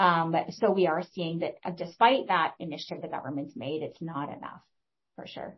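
Speaking with a passionate tone, a woman's somewhat breathy voice shows big swings in loudness and ordinary pitch variation. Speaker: executive director, social planning council. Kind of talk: panel discussion. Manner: fast talker, passionate.

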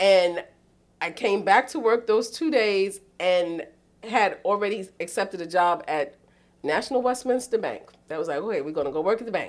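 With a New York accent, this woman talks at a moderate pace in a medium pitch, her intonation lively and her tone animated. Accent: New York City. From New York City, East Harlem. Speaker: boarding school dean of residential life. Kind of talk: casual interview.

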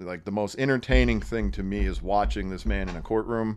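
A man with an American accent speaks at a moderate pace in a plain, everyday voice, pitched fairly low. The recording is very clean, with a silent background. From northeastern Pennsylvania. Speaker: attorney. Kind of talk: casual chat.

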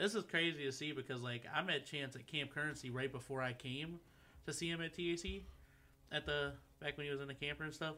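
A man with an American accent and a fairly high pitch, a bright, sharp tone, fairly even intonation and a fairly quick pace. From Michigan, US (Taylor). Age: 20s. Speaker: freestyle rapper. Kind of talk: casual chat. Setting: studio.

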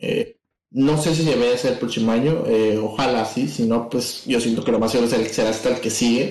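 A man speaks with a Mexican accent, and the room echo is audible. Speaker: podcast co-host. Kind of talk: casual chat.

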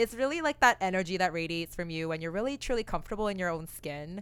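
With a normal speaking voice and a Canadian accent, a woman of fairly low pitch speaks with ordinary pitch variation on a very clean recording with a silent background. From Canada (Oakville, Ontario). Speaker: podcast co-host. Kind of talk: casual chat.

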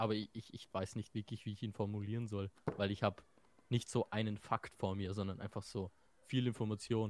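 In a dry, close recording with no echo, a man speaks in a monotone at a fairly low pitch. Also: moderate pace. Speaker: podcast co-host. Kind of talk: casual chat.

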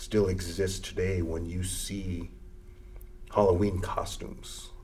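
Noticeable background noise runs behind a man as he talks. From US Great Plains, Lakota reservation. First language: Lakota. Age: 40s. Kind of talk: interview conversation.

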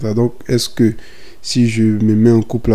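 A dark, mellow tone with monotone, flat intonation at a moderate pace. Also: man. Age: 20s. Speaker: podcaster. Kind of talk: casual monologue. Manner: casual, hesitant.

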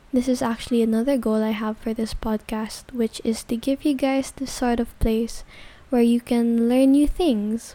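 A woman talks at a fairly slow pace. Her pitch is high. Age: young. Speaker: podcaster. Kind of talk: personal monologue.

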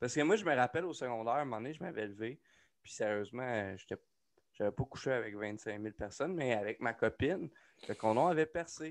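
With a Quebec accent, a man at medium pitch talks at a fairly quick pace with lively intonation against a quiet background. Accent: Québécois French. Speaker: podcast co-host, aspiring comedian. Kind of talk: casual chat. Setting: home studio.

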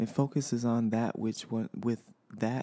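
The man's tone is dark and mellow. The sound is dry and close, with no echo. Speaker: podcast host. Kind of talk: casual solo monologue. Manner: halting, many fillers.

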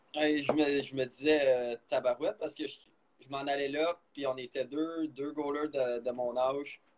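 A man with a Quebec accent speaks at a fairly slow pace with monotone, flat intonation. His loudness swings widely. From Quebec, Blainville. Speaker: college hockey goaltender. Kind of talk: interview.

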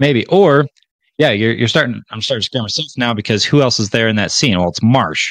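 A man with a normal speaking voice, lively intonation and a fairly quick pace, in a dry, close sound with no echo. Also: medium pitch for a man. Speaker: podcast co-host. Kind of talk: casual chat.

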